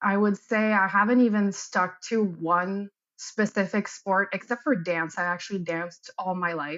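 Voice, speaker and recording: With a Quebec accent, a woman speaks at a fairly slow pace and medium pitch, her intonation fairly even. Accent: Québécois French accent in English. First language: French. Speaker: athletic therapist and military reservist. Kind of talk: interview.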